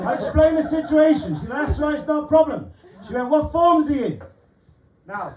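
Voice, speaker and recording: Over crowd noise and audible room echo, a man speaks at an extremely high pitch. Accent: Welsh. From South Wales, Barry. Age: 40s. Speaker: stand-up comedian. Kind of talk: stand-up. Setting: stage with audience.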